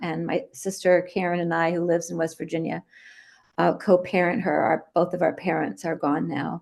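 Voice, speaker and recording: A woman talks at a moderate pace with a fairly low pitch and vocal fry. Her intonation is fairly even, and the background is quiet. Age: 60s. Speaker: recovering addict and treatment counselor. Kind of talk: personal testimony talk. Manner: halting, many fillers.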